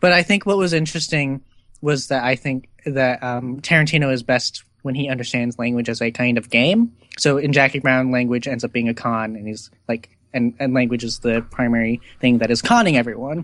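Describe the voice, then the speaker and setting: Speaking at a moderate pace, a man has an unremarkable speaking voice of medium pitch with ordinary pitch variation. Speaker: podcast co-host, film discussant. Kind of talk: casual chat.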